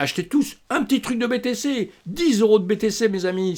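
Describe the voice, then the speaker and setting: In a very clean recording, a man speaks fairly slowly against a silent background. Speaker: crypto trading youtuber. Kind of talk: trading tutorial.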